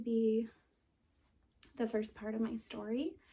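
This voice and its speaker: A woman speaks shakily and somewhat breathily at a fairly slow pace. Her fairly high voice has a dark, mellow tone. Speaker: vlogger sharing personal story. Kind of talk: personal testimony. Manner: shaky voice; halting, with pauses and fillers.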